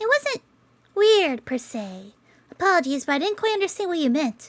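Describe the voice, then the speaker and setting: A squeaky, put-on character voice at an extremely high pitch moves at a moderate pace with very wide pitch swings. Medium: game stream. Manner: gentle, calm, emotionless.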